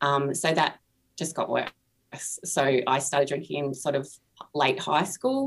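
Very slowly, a woman speaks in a very deep, low voice with monotone, flat intonation. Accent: Australian. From Australia. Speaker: author and artist. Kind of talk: interview about recovery. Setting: video call.

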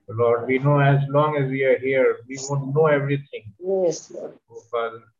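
With an unremarkable speaking voice, a man talks at a moderate pace, his medium pitch held in fairly even intonation. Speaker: congregation member praying. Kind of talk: fervent extemporaneous prayer in English. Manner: earnest, repetitive, pleading, with rhythmic 'Lord' refrain.

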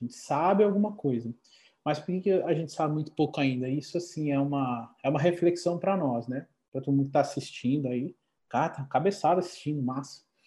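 The man has a fairly high pitch with ordinary variation and a dark, mellow tone. He speaks at a fairly quick pace and sounds somewhat breathy. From Brazil, Paraná. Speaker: osteopath. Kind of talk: casual chat. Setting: video call.

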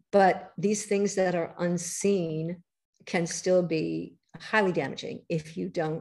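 Speaking very slowly, a woman with an American accent uses a fairly low pitch with vocal fry. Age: 70s. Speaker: author and healthy-eating advocate. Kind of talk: casual interview chat.

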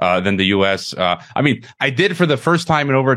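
A man with an American accent, a fairly quick pace, ordinary pitch variation and a plain, everyday voice. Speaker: podcast host. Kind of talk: interview.

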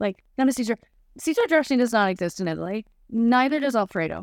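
A woman speaks at a very fast pace. Her fairly high voice has lively intonation. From Chicago, US. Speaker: travel business owner, tour guide.

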